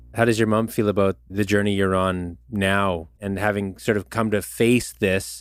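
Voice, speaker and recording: A normal speaking voice from a man with a Canadian accent, fairly low in pitch, with fairly even intonation, on a very clean recording with a silent background. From Canada, Manitoba (Winnipeg North End). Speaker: podcast host, country musician. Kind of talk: interview podcast.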